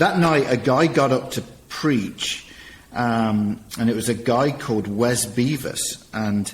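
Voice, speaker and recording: Noticeable background noise sits behind a man speaking at medium pitch. His pace is very slow and his pitch variation ordinary. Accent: English. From England. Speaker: nonprofit director and former youth pastor. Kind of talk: interview testimony.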